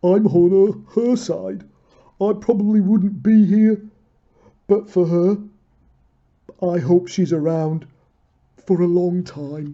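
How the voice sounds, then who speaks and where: A put-on character voice at middle pitch moves at a fairly slow pace. It leaves long, frequent pauses. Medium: read story. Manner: mild, earnest.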